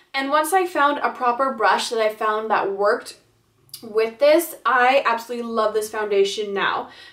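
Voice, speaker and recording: At a moderate pace, a woman speaks in a plain, everyday voice, her fairly high pitch showing ordinary pitch variation. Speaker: beauty vlogger. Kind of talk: product review monologue.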